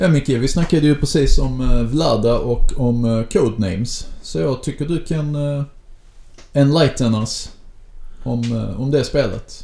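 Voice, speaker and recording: At a fairly slow pace, a man with a fairly high pitch and a dark, mellow, somewhat breathy tone speaks with ordinary pitch variation. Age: 30s. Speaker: podcast co-host and game master. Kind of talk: casual chat.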